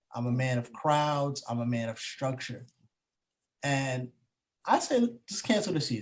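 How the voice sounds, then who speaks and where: Somewhat breathy delivery with lively intonation. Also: man. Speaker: podcast co-host. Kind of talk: casual chat.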